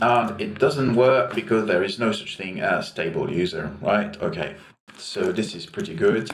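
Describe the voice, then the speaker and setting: This man's medium-pitched voice moves through very wide pitch swings. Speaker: programmer. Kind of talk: tutorial. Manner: halting; slow. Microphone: cheap mic right over the keyboard.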